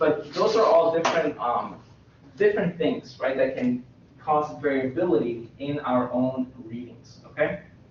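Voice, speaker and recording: Audible room echo and noticeable background noise surround the recording. A man speaks with a fairly high pitch and lively intonation. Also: fairly slow pace. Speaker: university lecturer. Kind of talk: lecture. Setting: classroom. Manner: loud. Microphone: echoey classroom sound.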